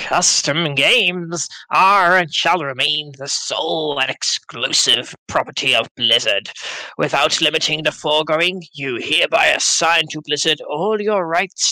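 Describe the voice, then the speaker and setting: A cackling, put-on character voice with a dramatic tone, ordinary pitch variation and a moderate pace, in a dry, close sound with no echo. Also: man, fairly high pitch for a man. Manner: evil cackling, dramatic.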